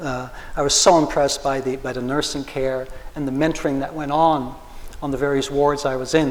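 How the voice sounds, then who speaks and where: Amid noticeable background noise and audible room echo, a man with a fairly high pitch talks at a moderate pace. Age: 60s. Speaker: patient and community activist. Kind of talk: public forum panel remarks. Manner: halting, with many repeated words.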